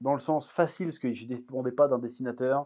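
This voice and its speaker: A man speaks with a strong Breton accent. The recording is very clean, with a silent background. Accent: thick Breton. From Brittany, France.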